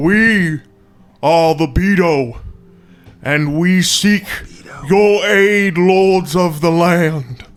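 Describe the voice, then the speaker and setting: A man's put-on character voice, high in pitch, at a very slow pace with long, frequent pauses and music in the background. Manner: deferential, formal.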